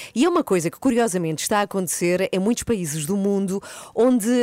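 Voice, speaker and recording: A woman in a plain, everyday voice, fairly quick and lively in intonation, with a dry, close sound and no echo. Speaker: morning radio host. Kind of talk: morning radio show. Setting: radio studio.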